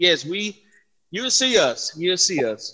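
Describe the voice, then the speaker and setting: A man projects a raised, high-pitched voice with a bright, sharp tone at a fairly slow pace. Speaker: gospel singer. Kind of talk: casual interview.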